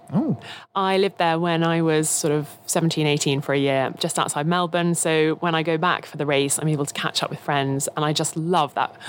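On a very clean recording with a silent background, a woman speaks at a moderate pace with a very deep, low pitch and fairly even intonation. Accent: southern English. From England, Kent. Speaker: F1 broadcaster. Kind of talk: casual chat.

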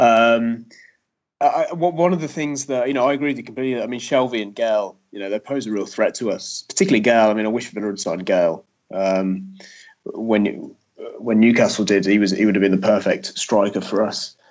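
Talking at a fairly quick pace, a man uses medium pitch with ordinary pitch variation. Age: 30s. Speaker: sports journalist. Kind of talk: casual chat. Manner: halting.

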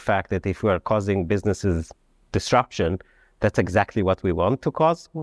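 A man with a non-native accent talks at a moderate pace. The recording is very clean, with a silent background, and the sound is dry and close with no echo. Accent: foreign-accented English. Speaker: economist. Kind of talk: panel discussion. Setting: stage with audience.

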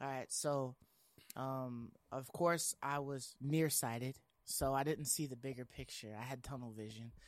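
A man speaks in an ordinary speaking voice at medium pitch. His pace is fairly slow and his intonation fairly even. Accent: American. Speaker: gaming podcast host. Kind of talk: casual chat.

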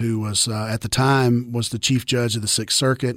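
At a fairly quick pace, a man speaks at a medium pitch with fairly even intonation in a very clean recording with a silent background. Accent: Tennessee. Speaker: attorney and former state representative. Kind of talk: casual interview chat.

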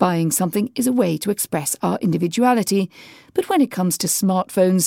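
In a British accent, a woman speaks at a moderate pace with a medium pitch, a dark, mellow tone and lively intonation, on a very clean recording with a silent background and a dry, close sound with no echo. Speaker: radio host. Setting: studio.

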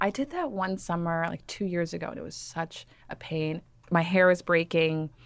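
A woman with an American accent talks in a normal speaking voice at a fairly low pitch and moderate pace, her pitch variation ordinary and her loudness swinging widely. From Texas, Dallas suburbs. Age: 30s. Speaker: fashion writer. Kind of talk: interview.

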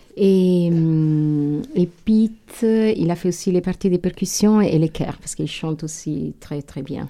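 Speaking very slowly with hardly any pauses, a woman uses a dark, mellow tone at a fairly low pitch, with ordinary pitch variation and an Italian accent. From northern Italy. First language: Italian (speaking French). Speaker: singer. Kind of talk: interview.

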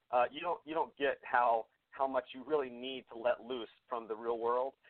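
A man with an American accent talks at a moderate pace in a normal speaking voice. His pitch is medium and his intonation fairly even. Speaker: singer-songwriter. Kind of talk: casual radio interview.

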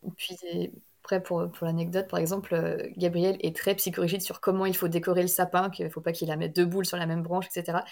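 A woman's fairly low voice at a very fast pace, fairly even in intonation, on a very clean recording with a silent background. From Brittany, France. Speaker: novelist. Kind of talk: interview.

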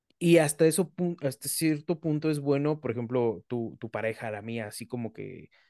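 A man with a Mexican accent speaks in a dark, mellow tone. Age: 30s. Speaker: physician and podcast host. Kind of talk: casual chat.

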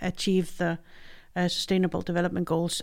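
A woman at a medium pitch with a Danish accent, on a very clean recording with a silent background. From Denmark. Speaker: head of a food aid agency's regional office. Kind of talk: interview podcast. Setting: studio.

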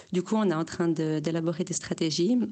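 A woman's fairly low-pitched voice. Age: 30s. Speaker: listener sending a voice message. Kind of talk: voice message testimony.

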